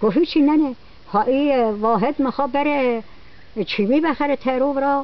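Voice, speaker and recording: The speaker talks with a Hamadani accent. The pace is moderate. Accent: Toyserkani Persian dialect. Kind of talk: casual storytelling.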